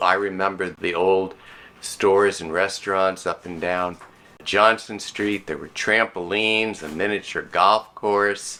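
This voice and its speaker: A man with an American accent speaks at a fairly slow pace and fairly low pitch, his bright, sharp tone holding a monotone, flat intonation amid big swings in loudness. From South Florida. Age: 60s. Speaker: local resident sharing memories. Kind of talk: personal reminiscence.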